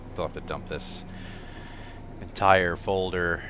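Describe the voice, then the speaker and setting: A man speaks in a relaxed tone. Noticeable background noise and audible room echo surround him. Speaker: train simulator gamer. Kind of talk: casual gameplay commentary. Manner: relaxed, hesitant with fillers.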